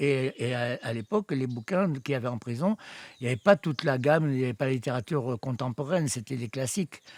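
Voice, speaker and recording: The sound is dry and close with no echo as a man speaks at a medium pitch and a fairly quick pace. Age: 60s. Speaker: writer living in the forest. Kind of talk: documentary interview testimony. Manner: halting, repeats words.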